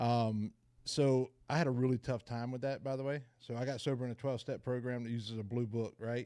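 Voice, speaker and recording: Delivered at a fairly quick pace, the voice has a dark, mellow tone, a Southern US accent and monotone, flat intonation. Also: man, medium pitch for a man. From US South, rural Georgia near Savannah. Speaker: person in recovery sharing story. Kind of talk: recovery meeting testimony. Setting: video call.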